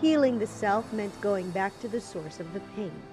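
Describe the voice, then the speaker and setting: There is music in the background. A woman talks over it at a moderate pace. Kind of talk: audiobook narration.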